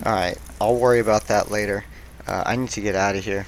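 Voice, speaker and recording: A man with a normal speaking voice talks at a fairly quick pace. His pitch is fairly low and his intonation fairly even. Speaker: gaming youtuber. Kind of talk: let's play commentary.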